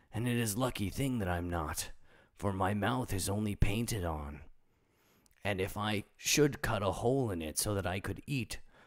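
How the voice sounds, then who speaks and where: In a put-on character voice, a man sounds raspy at a fairly low pitch, with ordinary pitch variation and a moderate pace. The recording is very clean, with a silent background. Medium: read story. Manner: simple, earnest.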